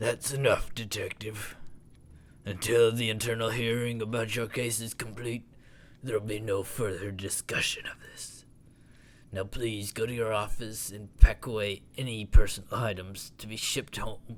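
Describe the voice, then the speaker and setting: A man's put-on character voice at medium pitch and moderate pace, flat and monotone yet with big swings in loudness, over clear background noise. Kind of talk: let's play commentary. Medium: actual play. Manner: stern, authoritative.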